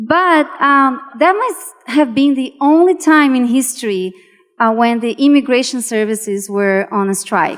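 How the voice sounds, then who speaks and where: A woman speaks at a high pitch in a Portuguese accent. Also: lively intonation, fairly slow pace. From Brazil. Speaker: venture investor. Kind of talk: panel discussion.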